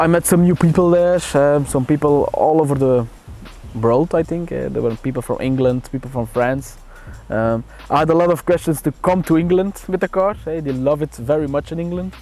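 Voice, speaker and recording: With music behind him, the man's pitch varies in an ordinary way. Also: fairly high pitch for a man, moderate pace. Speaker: car owner. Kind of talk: casual interview monologue. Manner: halting, many fillers.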